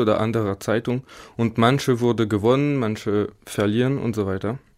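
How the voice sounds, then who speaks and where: On a very clean recording with a silent background, a man with a French accent speaks at a moderate pace and medium pitch in a flat monotone. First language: French (speaking German). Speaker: engineering student. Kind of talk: studio interview. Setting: studio. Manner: halting.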